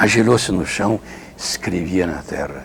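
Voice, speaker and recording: Noticeable background noise sits behind a man speaking at a moderate pace. His pitch is very deep and low. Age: 70s. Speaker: Franciscan friar, retreat preacher. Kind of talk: interview testimony. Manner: halting, self-correcting.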